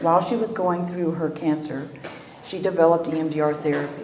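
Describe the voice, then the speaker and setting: Soft-spoken, a woman talks at a fairly low pitch. Room echo is audible, along with noticeable background noise. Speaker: EMDR trainer. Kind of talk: lecture.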